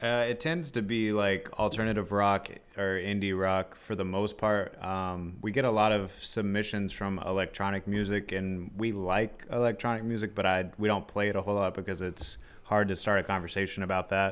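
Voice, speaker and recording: Here is an ordinary speaking voice: a man with a fairly low pitch and fairly even intonation, talking at a moderate pace with hardly any pauses. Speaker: podcast co-host. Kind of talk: casual chat.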